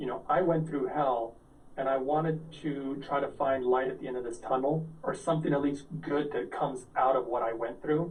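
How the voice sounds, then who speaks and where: Audible room echo surrounds a man speaking at a fairly high pitch with fairly even intonation. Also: moderate pace. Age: 40s. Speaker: health product entrepreneur. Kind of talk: interview.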